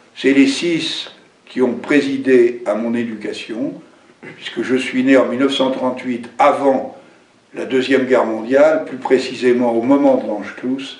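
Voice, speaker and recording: Noticeable background noise and audible room echo surround this recording. A man talks fairly slowly at a medium pitch with fairly even intonation. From France, Brittany. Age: 70s. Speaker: election candidate. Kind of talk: campaign speech. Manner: spontaneous, with hesitations.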